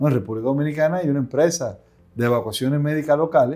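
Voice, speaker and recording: Against a quiet background, a man speaks in a fairly high pitch with ordinary pitch variation and a dark, mellow tone. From Dominican Republic. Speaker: aviation company CEO and pilot; interviewee. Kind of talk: interview. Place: office. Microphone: lapel.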